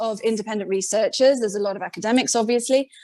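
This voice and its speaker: This woman has a British accent and a high pitch. Her pitch varies in an ordinary way. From Britain. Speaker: independent megalith researcher. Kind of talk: podcast interview.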